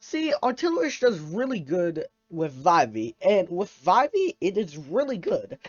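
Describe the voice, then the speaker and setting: The speech comes at a moderate pace with music in the background. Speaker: gaming youtuber. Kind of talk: gameplay commentary. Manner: halting, stuttering; casual, filler-heavy.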